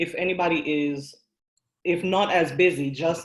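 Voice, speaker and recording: Speaking very slowly with a non-native accent, a woman talks at a fairly low pitch. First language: not English. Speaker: workshop presenter, coding student and small business owner. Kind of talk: online workshop talk.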